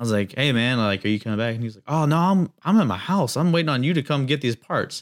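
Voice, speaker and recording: A man with an American accent at a medium pitch, with lively intonation, big swings in loudness, a very fast pace and hardly any pauses, in a very clean recording with a silent background. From US South, North Carolina. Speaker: amateur drifter. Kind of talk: casual chat.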